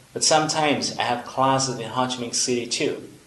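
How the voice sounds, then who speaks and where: Noticeable background noise and audible room echo surround a man whose fairly high voice moves at a moderate pace with fairly even intonation. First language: Vietnamese. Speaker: English teacher. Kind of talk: tutorial.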